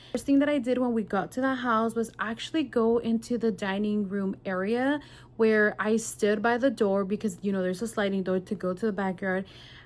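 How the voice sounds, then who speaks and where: On a very clean recording with a silent background, a woman with a Californian accent talks at a fairly quick pace, her fairly high voice showing ordinary pitch variation. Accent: Californian American English. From California (Salinas), US. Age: 20s. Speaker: vlogger. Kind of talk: personal vlog, emotional storytelling. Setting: sitting on the floor at home. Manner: casual, chatty.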